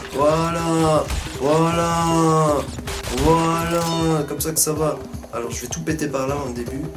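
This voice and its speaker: A man talks loud at a very slow pace, fairly high in pitch, with monotone, flat intonation and long, frequent pauses. Music plays in the background and room echo is audible. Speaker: gaming YouTuber. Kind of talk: let's play commentary.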